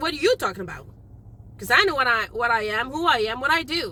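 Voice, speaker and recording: Raising and projecting her voice, a woman speaks at a fairly quick pace in an animated tone with very wide pitch swings. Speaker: tarot reader. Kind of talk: tarot reading. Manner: loud; casual, animated.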